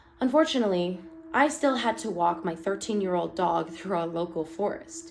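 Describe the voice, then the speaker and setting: A woman at a medium pitch speaks at a moderate pace with very wide pitch swings over noticeable background noise. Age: 20s. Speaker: online horror story narrator. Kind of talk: reading aloud; casual commentary.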